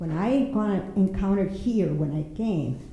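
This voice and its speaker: A woman with a Spanish accent speaks with lively intonation amid audible room echo. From Mexico. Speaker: poet and writer. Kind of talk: prepared panel talk.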